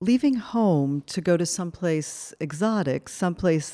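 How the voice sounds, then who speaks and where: A woman with an American accent has a dark, mellow tone, recorded with a dry, close sound and no echo. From Cuban American. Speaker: anthropology professor. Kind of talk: lecture. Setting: stage with audience. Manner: halting.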